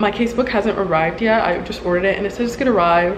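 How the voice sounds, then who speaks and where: Against noticeable background noise, a woman speaks at a very fast pace with ordinary pitch variation. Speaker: law student vlogger. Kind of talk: casual vlog chat. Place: kitchen. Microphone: phone near.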